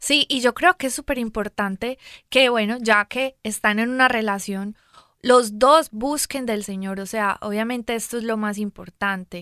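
With a Colombian accent, a woman speaks at a fairly slow pace in a fairly high voice with a bright, sharp tone and ordinary pitch variation. The recording is very clean, with a silent background and a dry, close sound with no echo. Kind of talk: casual chat. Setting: studio. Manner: animated.

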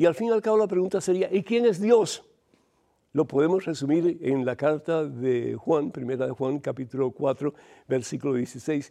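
A man with a dark, mellow tone and fairly high pitch, lively intonation at a moderate pace, quiet background. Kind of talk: preaching, sermon-like teaching with live call-in questions. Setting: studio, TV and radio program. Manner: fervent, exhortative, warm, preacher in full flow.

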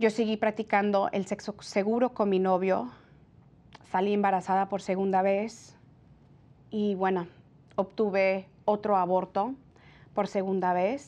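A woman's medium-pitched voice at a fairly slow pace, with long, frequent pauses, fairly even intonation and a quiet background. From California, Mexican-American family from Jalisco. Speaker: pro-life TV presenter. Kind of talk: personal testimony. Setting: TV studio.

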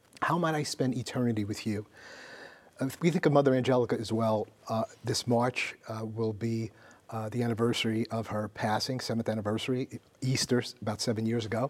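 A man with an unremarkable speaking voice talks at medium pitch and a fairly quick pace. His intonation is fairly even. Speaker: network representative. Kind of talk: announcement appeal.

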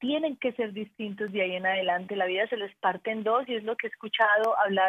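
At a moderate pace, a woman speaks with an Antioquian accent, keeping a medium pitch and fairly even intonation. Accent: Colombian paisa (Antioquia) Spanish. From Colombia, Antioquia. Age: 40s. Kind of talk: casual chat.

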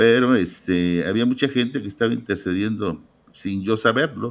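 A man's ordinary speaking voice, fairly low in pitch, with ordinary pitch variation and a moderate pace. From Mexico, Guadalajara. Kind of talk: testimony.

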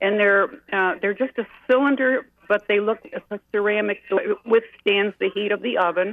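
In a normal speaking voice, a woman of medium pitch talks at a moderate pace with fairly even intonation. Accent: American. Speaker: caller. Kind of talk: casual chat. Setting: phone call.

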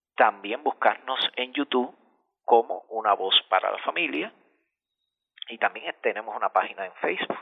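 With a Cuban accent, a man speaks at a moderate pace and medium pitch, using lively intonation, big swings in loudness and long, frequent pauses. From central Cuba. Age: 40s. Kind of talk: radio interview.

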